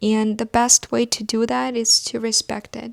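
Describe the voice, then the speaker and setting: Fairly high-pitched woman's voice, an ordinary speaking voice, at a fairly slow pace, with a dry, close sound and no echo. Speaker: brand founder and podcast host. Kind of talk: solo personal podcast monologue. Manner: heartfelt, earnest.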